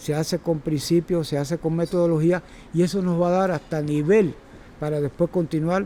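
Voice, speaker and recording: The tone is dark and mellow. It moves at a moderate pace. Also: man. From Cuba. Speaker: circus teacher and former gymnast. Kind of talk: talk to a workshop audience. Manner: halting, with repetitions and fillers.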